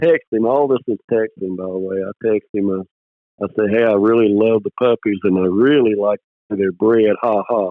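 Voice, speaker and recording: A man talks at a moderate pace. His pitch is medium, and he has a Mississippi accent. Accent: Southern US (Mississippi). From US South, Mississippi (near Picayune). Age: 60s. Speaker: squirrel dog breeder, retired space program worker. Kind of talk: casual interview, storytelling. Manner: animated storytelling, repeats words.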